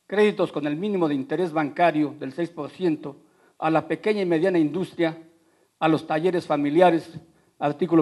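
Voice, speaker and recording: A man with a Mexican accent speaks at a moderate pace with a fairly high pitch and a dark, mellow tone. His intonation is fairly even, and the background is quiet. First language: Otomi (speaking Spanish). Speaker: politician. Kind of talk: debate speech. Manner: formal.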